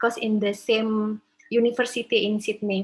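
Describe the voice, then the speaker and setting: A woman speaks at a fairly high pitch with an Indonesian accent. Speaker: law professor. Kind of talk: academic presentation. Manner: halting.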